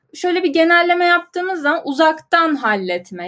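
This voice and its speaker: On a very clean recording with a silent background, a woman's voice swings very widely in pitch. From Turkey, Ankara. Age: 20s. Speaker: business analyst at angel investor network. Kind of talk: casual interview.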